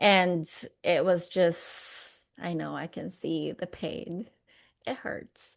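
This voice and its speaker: A woman with a Filipino accent. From Philippines. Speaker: motivational speaker. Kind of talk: interview. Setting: podcast.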